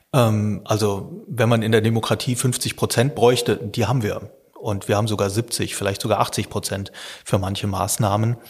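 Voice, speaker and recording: This man's voice is somewhat breathy and fairly low in pitch. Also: moderate pace. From Lower Rhine region, Germany. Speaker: journalism professor and science reporter. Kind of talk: podcast interview.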